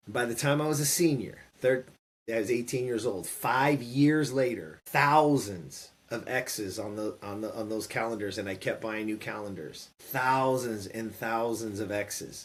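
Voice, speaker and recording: Against a silent background in a very clean recording, a man with an American accent speaks in a normal speaking voice at medium pitch, with ordinary pitch variation and a fairly slow pace. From California. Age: 50s. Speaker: former pro baseball player and entrepreneur. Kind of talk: interview storytelling.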